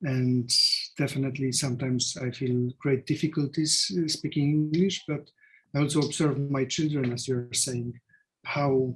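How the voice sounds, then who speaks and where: A man with a Polish accent speaks fairly slowly, his fairly high voice somewhat breathy and his intonation monotone and flat. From Poland. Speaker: artist. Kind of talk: presentation talk. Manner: halting.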